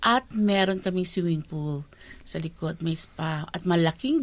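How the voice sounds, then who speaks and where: In a very clean recording with a silent background, a woman with an ordinary speaking voice speaks at a fairly low pitch and a fairly slow pace, with ordinary pitch variation. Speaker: community service provider. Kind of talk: interview.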